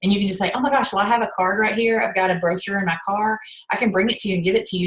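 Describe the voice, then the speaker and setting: A woman talks at a very fast pace with a medium pitch and fairly even intonation. Noticeable background noise runs under her voice. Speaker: network marketing team leader. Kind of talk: sales training talk. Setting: video call.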